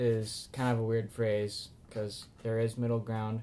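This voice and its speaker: Here a man talks. He goes very slowly. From US Midwest. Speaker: podcast co-host. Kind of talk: casual chat.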